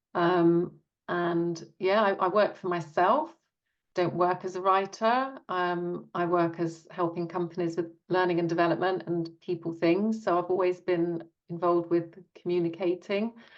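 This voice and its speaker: A woman with a British accent talks at a moderate pace in a fairly low pitch, her intonation fairly even. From Britain. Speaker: author. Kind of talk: interview.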